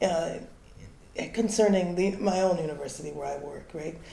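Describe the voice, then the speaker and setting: Over noticeable background noise, a woman talks at a moderate pace and medium pitch. Her pitch varies ordinarily, and audible room echo lingers. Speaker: academic in audience. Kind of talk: audience comment at conference. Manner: quiet.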